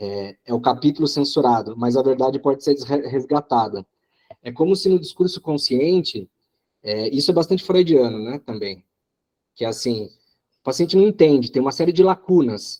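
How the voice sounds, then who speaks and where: A man with a dark, mellow tone and a fairly high pitch is heard in a dry, close sound with no echo. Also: moderate pace. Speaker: psychoanalysis study group coordinator. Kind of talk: study group discussion. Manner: halting, many repetitions.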